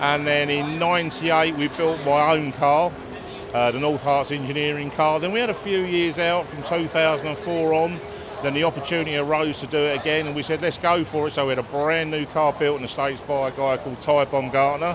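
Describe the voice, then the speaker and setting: A man's fairly high, fairly evenly intoned voice at a fairly quick pace, with noticeable background noise and audible room echo. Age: 60s. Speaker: funny car team owner. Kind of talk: interview.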